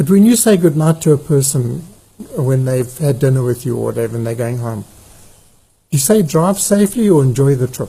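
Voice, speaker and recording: Fairly high in pitch yet dark and mellow in tone, a somewhat breathy man speaks at a fairly quick pace with lively intonation. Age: 70s. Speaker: farmer. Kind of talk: conversational interview.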